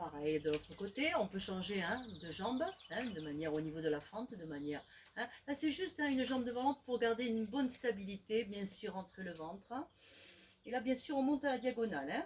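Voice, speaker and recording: The voice swings very widely in pitch, somewhat breathy and moving at a fairly quick pace. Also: woman, fairly high pitch for a woman. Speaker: fitness instructor. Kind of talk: exercise tutorial.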